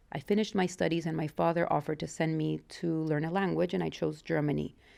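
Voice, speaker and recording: A woman with a Mexican accent speaks at a very fast pace in a very clean recording with a silent background. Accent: mild Mexican Spanish. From Mexico. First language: Spanish. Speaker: interviewee, wife of channel owner. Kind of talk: interview, personal life story.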